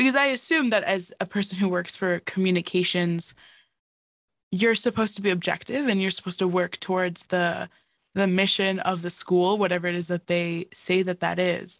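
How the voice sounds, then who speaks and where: A woman with a plain, everyday voice speaks at a medium pitch with fairly even intonation. The sound is dry and close, with no echo. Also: moderate pace. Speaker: student podcast co-host. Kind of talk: interview. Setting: video call.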